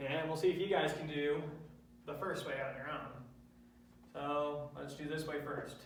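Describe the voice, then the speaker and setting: Amid noticeable background noise and audible room echo, a man with a fairly high pitch speaks at a moderate pace in a monotone, flat intonation, leaving long, frequent pauses. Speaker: math lecturer. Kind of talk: lecture. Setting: classroom with students.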